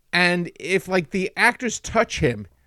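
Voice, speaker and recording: With an American accent, the voice has a bright, sharp tone in a dry, close recording with no echo. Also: man. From England. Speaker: podcast host. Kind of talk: casual chat.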